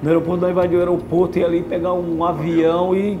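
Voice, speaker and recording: Over music in the background, a man talks at a fairly quick pace in a high pitch. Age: 50s. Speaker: former criminal, prison inmate. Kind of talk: interview answer. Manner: casual colloquial storytelling. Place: meeting room. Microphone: lapel.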